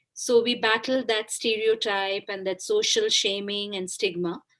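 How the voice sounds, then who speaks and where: At a moderate pace, a woman with a Bengali accent speaks at medium pitch with fairly even intonation. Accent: Indian English, Bengali. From India, Kolkata. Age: 40s. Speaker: author. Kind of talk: interview.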